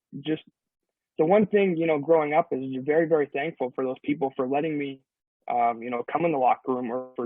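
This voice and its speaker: A man with a Canadian accent at a very fast pace. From Ontario, Canada. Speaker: professional umpire. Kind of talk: interview. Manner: halting, many repetitions.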